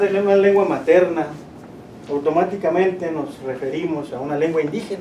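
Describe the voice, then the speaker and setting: High-pitched male voice with a Chihuahua accent, audible room echo and noticeable background noise. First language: Rarámuri (speaking Spanish). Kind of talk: presentation.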